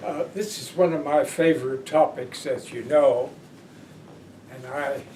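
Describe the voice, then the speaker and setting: A man with an American accent speaks very slowly in a fairly high pitch, his intonation fairly even. The room echo is audible and background noise is noticeable. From Pennsylvania. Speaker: peace advocate and social worker. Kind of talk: oral history interview.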